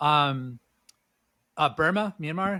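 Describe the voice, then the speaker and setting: In a very clean recording with a silent background, a man with a West Coast US accent speaks in a bright, sharp tone. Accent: General American, West Coast. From US, Southern California. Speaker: entrepreneur and former tour guide. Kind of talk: casual interview chat. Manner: hesitant, many fillers.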